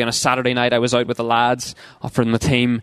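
A man's medium-pitched voice at a very fast pace, with a Northern Irish accent and a dry, close sound with no echo. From Northern Ireland. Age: 20s. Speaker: youth ministry worker. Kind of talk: seminar talk.

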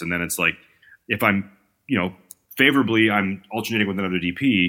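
A man with a Canadian accent has a very deep, low pitch and a bright, sharp tone. The recording is very clean and the background silent. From Canada. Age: 40s. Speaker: cinematographer. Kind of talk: casual chat.

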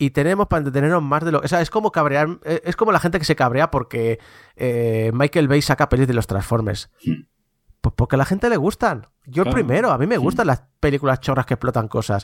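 An unremarkable speaking voice from a man, fairly high in pitch with very even loudness, in a dry, close sound with no echo and a very clean recording over a silent background. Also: fairly quick pace. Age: 40s. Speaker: video game commentator. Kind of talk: casual chat.

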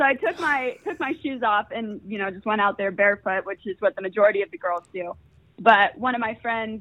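Speaking at a fairly quick pace in an American accent, the speaker has a normal speaking voice with ordinary pitch variation. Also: woman. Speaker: student entrepreneur. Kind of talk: casual interview. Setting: phone call.

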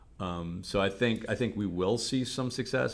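A man with a Cleveland accent. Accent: Cleveland, general American. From Cleveland, Ohio. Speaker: business professor and venture capitalist. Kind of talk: casual interview.

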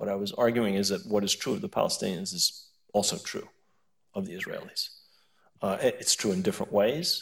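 A man talks at a fairly quick pace, broken up by long, frequent pauses. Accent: American. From US, New York. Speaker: professor. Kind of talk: panel discussion. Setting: stage with audience.

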